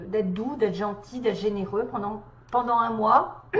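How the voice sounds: Putting on a hoarse character voice, a woman talks at a moderate pace in a fairly high pitch with fairly even intonation and audible echo.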